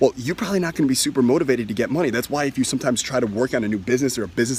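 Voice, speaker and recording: Against noticeable background noise, a man at a medium pitch talks at a very fast pace in an animated tone with ordinary pitch variation. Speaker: self-help money coach. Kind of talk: sales pitch.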